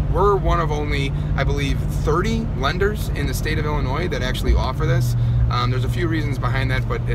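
A man's dry voice with no echo over loud background noise. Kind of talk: casual vlog chat. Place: car. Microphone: phone near.

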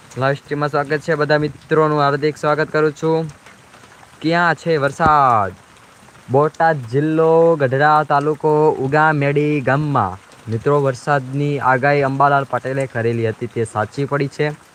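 Over noticeable background noise, a man speaks at a fairly high pitch with very even loudness. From Gujarat, Saurashtra region (Ahmedabad district, Dholera area). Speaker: vlogger. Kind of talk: live stream commentary. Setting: outdoors in rain with umbrella. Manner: animated.

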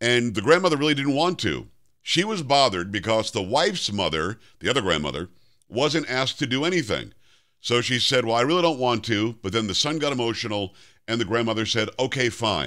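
Quiet background, a fairly quick pace and a bright, sharp tone, from a man with vocal fry and very wide pitch swings. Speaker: syndicated talk radio host. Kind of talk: talk radio commentary. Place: studio.

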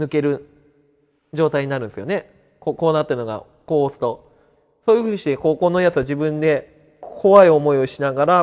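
At a fairly quick pace, a man talks in a fairly high pitch with ordinary pitch variation. The background is quiet. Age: 30s. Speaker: cancer survivor. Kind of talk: interview testimony. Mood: calm, matter-of-fact about illness. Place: classroom. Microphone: lapel.

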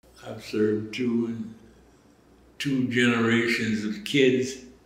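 Against audible room echo, a man speaks at a very slow pace. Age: 80s+. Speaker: food pantry coordinator. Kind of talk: interview answer. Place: office.

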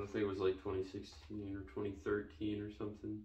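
A man talks at a moderate pace in a low voice with vocal fry, and the room echo is audible.

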